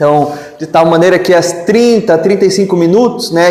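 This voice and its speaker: A man with a high pitch and ordinary pitch variation speaks amid noticeable background noise and audible room echo. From Brazil, interior of Amazonas (São Gabriel da Cachoeira). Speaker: spiritist lecturer. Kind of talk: lecture. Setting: spiritist centre with audience. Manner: formal.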